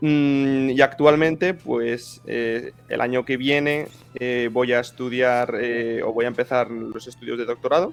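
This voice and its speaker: With music in the background, a man of medium pitch talks at a fairly slow pace with hardly any pauses and fairly even intonation. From Spain, Zaragoza (Aragon). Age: 20s. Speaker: historian and think-tank deputy director. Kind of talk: interview conversation. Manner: halting, many fillers.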